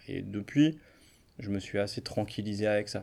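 A man with a dark, mellow tone talks at a fairly low pitch. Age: 30s. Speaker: psychologist. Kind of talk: interview. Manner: hesitant, filler-heavy.

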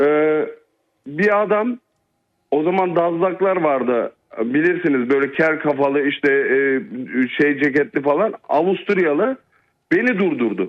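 Pausing long and often, a man with a fairly high pitch speaks at a fairly slow pace, with lively intonation and very even loudness. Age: 40s. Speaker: caller. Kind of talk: telling a personal story.

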